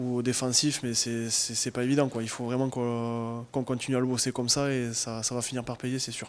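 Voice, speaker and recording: The man's medium-pitched voice stays monotone and flat at a moderate pace. He speaks with hardly any pauses. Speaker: rugby player. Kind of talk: post-match interview. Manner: halting. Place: meeting room. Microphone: handheld.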